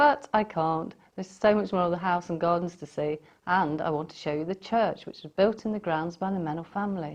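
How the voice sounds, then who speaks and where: A woman speaks with an English accent. Her pitch is fairly low and her pace moderate. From Staffordshire, England. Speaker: vlogger, former resident of a stately home. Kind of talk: casual talk to camera.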